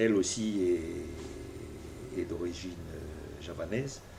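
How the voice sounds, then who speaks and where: Audible room echo surrounds a man whose fairly low voice is somewhat breathy, with a dark, mellow tone. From New Caledonia (Koné region). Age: 60s. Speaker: politician. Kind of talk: interview. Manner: halting, many hesitations.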